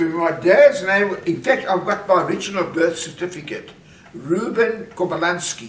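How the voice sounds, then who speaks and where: Delivered at a moderate pace with ordinary pitch variation, the speech has noticeable background noise behind it. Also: man, high pitch for a man. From South Africa, Johannesburg. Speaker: family patriarch telling life story. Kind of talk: casual family interview. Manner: halting.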